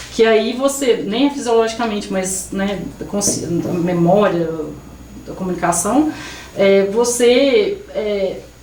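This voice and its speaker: Noticeable background noise and audible room echo surround a woman who speaks fairly slowly with very wide pitch swings. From Brazil, Minas Gerais (Carmo do Rio Claro). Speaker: Brazilian expat worker interviewed. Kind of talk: podcast interview. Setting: studio. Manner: hesitant, many false starts.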